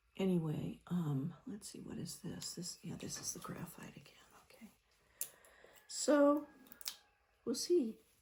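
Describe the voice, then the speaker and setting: In a relaxed, somewhat breathy tone, a woman of medium pitch speaks at a fairly slow pace with long, frequent pauses, very wide pitch swings and big swings in loudness. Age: 70s. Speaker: painting vlogger. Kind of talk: casual chat while painting. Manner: relaxed, rambling.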